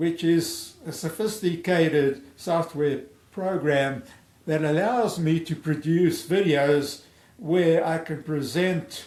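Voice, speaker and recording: There is audible room echo as a man talks very slowly at a fairly high pitch with ordinary pitch variation. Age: 70s. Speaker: amateur golf theorist, video creator. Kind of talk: personal video introduction to camera. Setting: home recording via webcam. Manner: halting, with self-corrections.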